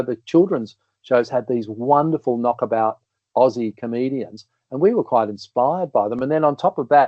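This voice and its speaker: A man with an Australian accent talks at a fairly quick pace and a medium pitch. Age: 60s. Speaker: comedian and entertainer. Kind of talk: casual chat.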